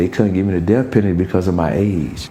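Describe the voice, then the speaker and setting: Amid audible room echo, a man with a very deep, low voice talks at a very fast pace. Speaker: prison inmate. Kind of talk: testimony. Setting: prison.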